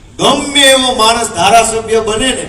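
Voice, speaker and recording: This man's high voice carries through audible room echo and noticeable background noise. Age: 30s. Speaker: politician. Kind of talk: political speech. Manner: animated.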